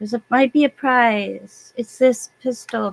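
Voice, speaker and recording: A woman with an American accent and ordinary pitch variation. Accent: southern US accent showing when tired. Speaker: gaming livestreamer. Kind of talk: casual livestream chat.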